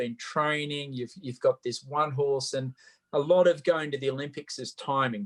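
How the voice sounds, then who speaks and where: Heard in a dry, close sound with no echo, a man with an Australian accent talks at a moderate pace and a fairly high pitch. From Australia, Sydney. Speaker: Olympic equestrian athlete. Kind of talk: interview. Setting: video call.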